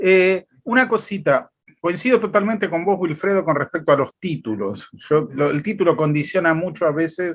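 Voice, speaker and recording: This man's voice sits fairly high, swinging very widely in pitch at a moderate pace. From Argentina, Buenos Aires. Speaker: church member asking questions. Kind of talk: casual question in a talk. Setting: video call.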